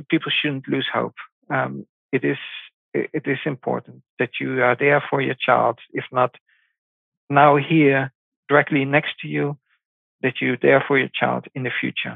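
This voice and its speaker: Speaking at a fairly slow pace, a man talks with a Dutch accent. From Netherlands. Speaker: parent of abducted child. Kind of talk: interview. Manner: halting.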